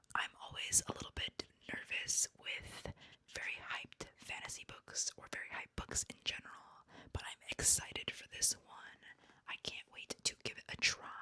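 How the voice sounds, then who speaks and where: A woman whispering at a moderate pace, with big swings in loudness and a dry, close sound with no echo. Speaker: booktuber / book content creator. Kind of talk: whispered ASMR book haul.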